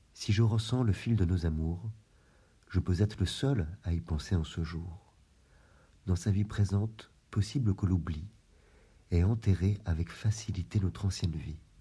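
A man with a very deep, low pitch and a dark, mellow, somewhat breathy tone speaks at a fairly slow pace with ordinary pitch variation and long, frequent pauses. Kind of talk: poem reading, love poetry read aloud. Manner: slow, measured, formal, reflective; wistful, melancholic, expressive.

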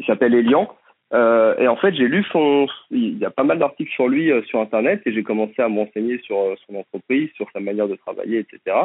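His pace is moderate. The man's intonation stays lively throughout. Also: medium pitch for a man. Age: 30s. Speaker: trainee plumber, former marketing worker. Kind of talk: interview. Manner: hesitant, many fillers and repetitions.

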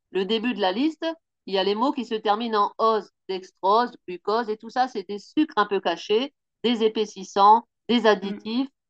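A woman with a normal speaking voice at medium pitch talks at a moderate pace, the sound dry and close with no echo. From Picardie, northern France. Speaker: pastry chef. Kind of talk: interview.

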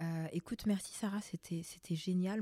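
A woman with a dark, mellow, somewhat breathy tone speaks at a fairly slow pace with ordinary pitch variation, in a dry, close sound with no echo. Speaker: makeup artist and podcast host. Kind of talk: casual chat interview.

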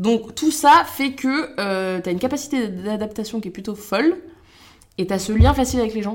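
A woman talks at a moderate pace with lively intonation and an energetic tone. The recording is very clean, with a silent background. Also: fairly high pitch for a woman. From France, Loiret (Montargis). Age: 20s. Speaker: social media creator and former cook. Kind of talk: casual interview chat.

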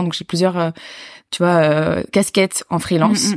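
In a plain, everyday voice, a woman speaks at a fairly quick pace and fairly low pitch with fairly even intonation on a very clean recording with a silent background. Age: 20s. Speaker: public speaker and student. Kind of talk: casual interview chat.

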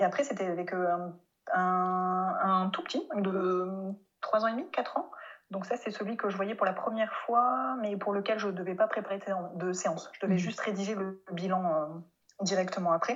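A woman's medium-pitched voice with ordinary pitch variation at a moderate pace. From France. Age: 30s. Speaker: speech therapist. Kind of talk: interview. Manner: hesitant, many fillers.

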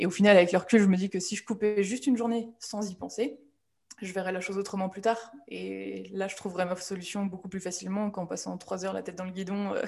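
A woman's medium-pitched voice, very fast and monotone, with flat intonation and big swings in loudness. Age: 20s. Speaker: social media manager. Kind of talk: interview.

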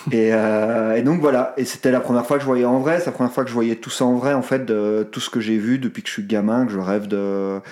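This man talks at a fairly quick pace in a plain, everyday voice, his pitch medium and varying in an ordinary way. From Belgium, Brussels. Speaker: sports photographer. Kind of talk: interview.

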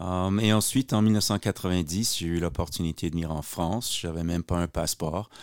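A man's very deep, low voice at a moderate pace, with ordinary pitch variation, hardly any pauses, and a dry, close sound with no echo. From Quebec, Montreal. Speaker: American football coach. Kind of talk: podcast interview. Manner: hesitant, many fillers.

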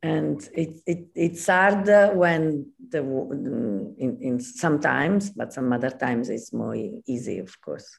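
Using vocal fry and a very deep, low pitch, a woman speaks very slowly with very wide pitch swings and hardly any pauses. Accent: Italian. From Italy, Naples. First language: Italian. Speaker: costume designer. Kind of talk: interview. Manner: halting.

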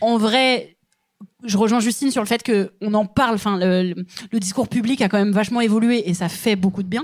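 A woman talks at a moderate pace with ordinary pitch variation in a plain, everyday voice. The recording is very clean, with a silent background. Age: 30s. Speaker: comedian. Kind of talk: casual chat. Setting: stage with audience.

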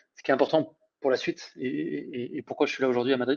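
A man at a fairly quick pace. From France, Isère (between Lyon and Grenoble). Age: 30s. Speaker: recruitment startup founder. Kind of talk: casual interview. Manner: hesitant, many repetitions and fillers.

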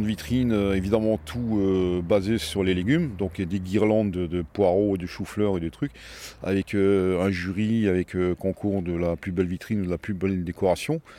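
Ordinary pitch variation and a fairly slow pace from a man with a fairly low pitch. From Strasbourg, Alsace, France. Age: 60s. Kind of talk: interview testimony. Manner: hesitant, with repetitions.

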